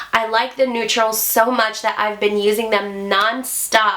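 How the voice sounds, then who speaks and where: A woman talks at a fairly slow pace in a fairly high voice. Audible room echo and noticeable background noise come through. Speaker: beauty YouTuber. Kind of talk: product review. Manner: chatty.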